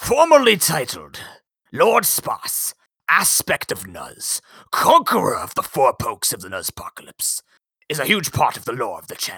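Using a raspy, put-on character voice, a man talks at a moderate pace. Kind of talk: Victorian, dramatic, formal. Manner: theatrical, grandiloquent.

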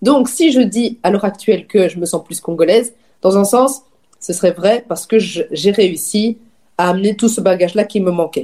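With a slight Belgian accent, a woman speaks at a moderate pace and medium pitch in a dark, mellow tone with ordinary pitch variation. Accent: slight, barely audible Belgian French. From Belgium, Namur region (Wallonia). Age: 20s. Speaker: magazine founder and editor. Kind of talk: casual chat.

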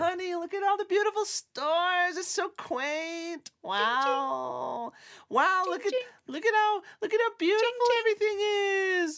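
At a fairly unhurried pace, someone performs a put-on character voice pitched extremely high. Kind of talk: casual, chatty. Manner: gushing, naive.

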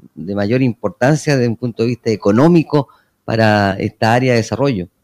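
On a very clean recording with a silent background, a man with a plain, everyday voice speaks at a medium pitch and a fairly quick pace with ordinary pitch variation. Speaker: mayor. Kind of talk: radio interview. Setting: town hall.

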